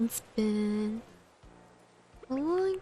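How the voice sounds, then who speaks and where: A woman's fairly high voice with a dark, mellow tone. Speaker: gaming streamer. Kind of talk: casual gameplay commentary. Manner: soft-spoken, mumbles at times.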